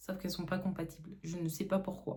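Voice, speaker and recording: Her intonation is monotone and flat. The woman keeps a fairly quick pace. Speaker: beauty vlogger. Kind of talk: casual chat.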